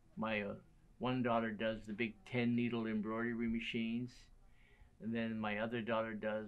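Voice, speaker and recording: With audible room echo, a man speaks in an American accent at a medium pitch, his intonation monotone and flat. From western Pennsylvania. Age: 80s+. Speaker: sewing machine shop owner and mechanic. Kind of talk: documentary interview.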